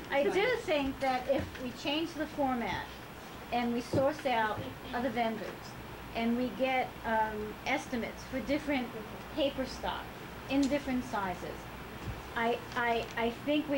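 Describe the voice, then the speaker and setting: With noticeable background noise and audible room echo, a woman with a high pitch and ordinary pitch variation speaks at a fairly slow pace. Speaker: board director. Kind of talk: board meeting presentation. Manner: soft-spoken.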